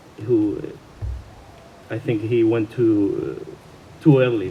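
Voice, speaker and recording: A man talks with hardly any pauses and big swings in loudness. Audible room echo and noticeable background noise surround him. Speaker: friend or partner of the deceased. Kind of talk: eulogy speech. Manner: halting, hesitant.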